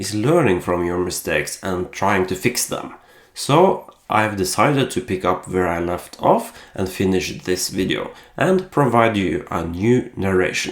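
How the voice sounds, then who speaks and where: In a Norwegian accent, a man with a fairly low pitch speaks at a fairly slow pace with lively intonation. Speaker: costume maker. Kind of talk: voice-over narration. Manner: hesitant, many filler pauses.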